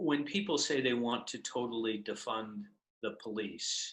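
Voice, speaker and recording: A man with a plain, everyday voice, at a fairly slow pace. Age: 60s. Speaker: lawyer and political candidate. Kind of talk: interview. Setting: video call.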